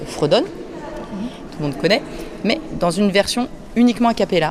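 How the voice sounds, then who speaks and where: Lively intonation marks a woman's fairly slow speech. Noticeable background noise and audible room echo are present. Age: 30s. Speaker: choir director. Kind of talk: interview. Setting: cathedral after mass. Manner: halting, many fillers.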